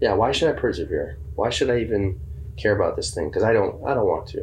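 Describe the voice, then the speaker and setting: A man talks at a moderate pace, his voice carrying audible room echo. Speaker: church podcast co-host. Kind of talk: casual chat.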